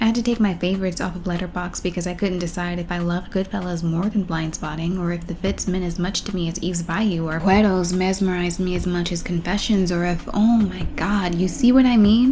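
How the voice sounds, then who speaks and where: Soft-spoken and at medium pitch, a woman talks at a fairly quick pace with hardly any pauses and ordinary pitch variation, amid noticeable background noise and audible room echo. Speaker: film vlogger. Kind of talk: casual monologue. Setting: at home at night.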